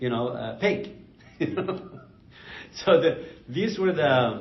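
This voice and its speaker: Over noticeable background noise, a high-pitched man speaks very slowly with lively intonation. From Palestine (Jerusalem). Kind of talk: oral history interview answer. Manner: conversational, informal.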